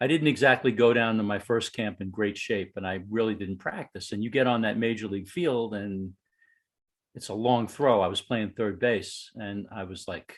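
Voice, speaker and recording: Against a quiet background, a man with a New York accent speaks at a fairly low pitch, his loudness swinging widely. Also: ordinary pitch variation, moderate pace. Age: 60s. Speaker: baseball fan, fantasy camp attendee. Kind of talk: casual chat. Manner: animated.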